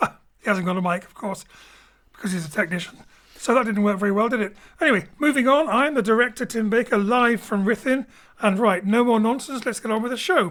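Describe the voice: High male pitch, ordinary pitch variation, fairly bright tone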